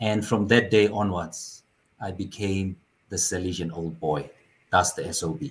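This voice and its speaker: A man speaks with a very deep, low pitch, somewhat breathy, with ordinary pitch variation. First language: not English (fourth language). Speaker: author. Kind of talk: interview conversation. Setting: video call.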